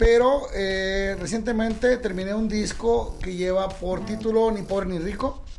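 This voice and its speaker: A man's high-pitched voice at a fairly slow pace, with fairly even intonation and hardly any pauses, plus noticeable background noise and audible room echo. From Sonora, Mexico. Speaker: regional Mexican singer. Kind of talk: casual interview chat.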